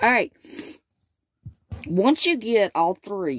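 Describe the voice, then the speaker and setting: In a Southern US accent, a woman speaks with lively intonation, the sound dry and close with no echo. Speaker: crochet teacher. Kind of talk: tutorial. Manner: casual, chatty.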